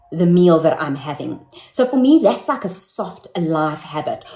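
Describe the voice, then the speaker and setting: Through noticeable background noise, a woman speaks at medium pitch with very wide pitch swings. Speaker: live-stream host. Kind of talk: casual live-stream talk to viewers. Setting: live stream.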